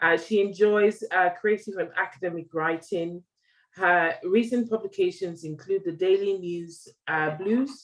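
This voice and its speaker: A woman with a British accent, medium-pitched, at a fairly slow pace and with ordinary pitch variation. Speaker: diabetes platform founder and interviewer. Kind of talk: interview. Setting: video call. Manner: animated.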